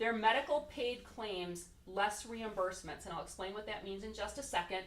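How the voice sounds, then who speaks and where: Audible room echo surrounds the speech. The pace is moderate, with ordinary pitch variation. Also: woman. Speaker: insurance benefits consultant. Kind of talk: presentation to a city committee. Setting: council meeting room, standing away from table. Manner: loud.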